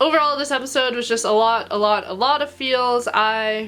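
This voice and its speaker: In an animated tone, a woman with a fairly high pitch speaks at a moderate pace with ordinary pitch variation. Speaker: anime reviewer. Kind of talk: casual video review. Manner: getting higher pitched with emotion.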